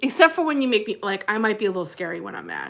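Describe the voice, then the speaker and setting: Animated and bright with a sharp edge, a woman speaks at medium pitch with lively intonation. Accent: New Jersey. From New Jersey. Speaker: livestream host, former pastor. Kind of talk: casual live chat reading comments. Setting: livestream.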